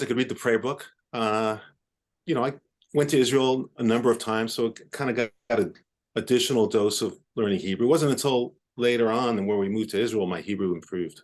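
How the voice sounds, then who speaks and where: Against a quiet background, a man with a New York accent speaks at a fairly quick pace in a medium pitch. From New York City, Upper West Side of Manhattan. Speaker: orthopedic surgeon. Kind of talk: podcast interview. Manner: halting.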